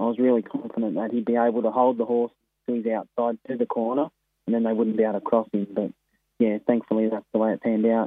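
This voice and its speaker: A man at medium pitch with an Australian accent, monotone, flat intonation and a very fast pace. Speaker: harness racing trainer and driver. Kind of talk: phone interview.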